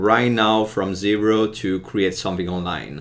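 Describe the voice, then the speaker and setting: A man with an Italian accent, fairly even intonation and a moderate pace. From Italy. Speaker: podcast host. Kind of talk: interview. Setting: live video.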